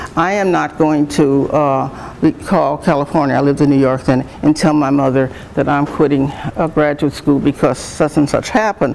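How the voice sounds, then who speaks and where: A woman speaks at a moderate pace in a very deep, low pitch, her intonation fairly even and her loudness very even, with noticeable background noise behind her. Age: 70s. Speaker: retired nursing professor and dean. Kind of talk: talk to students. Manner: halting, many fillers and restarts.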